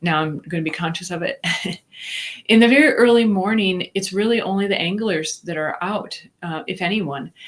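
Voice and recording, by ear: A woman with a Minnesotan accent, medium in pitch, lively in intonation, at a moderate pace. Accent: Minnesota.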